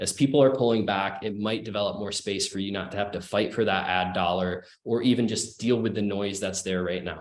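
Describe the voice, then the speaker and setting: Speaking at a fairly quick pace with hardly any pauses, a man keeps his fairly low voice at a fairly even intonation. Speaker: marketing speaker on a webinar panel. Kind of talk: webinar presentation. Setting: online webinar. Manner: fast.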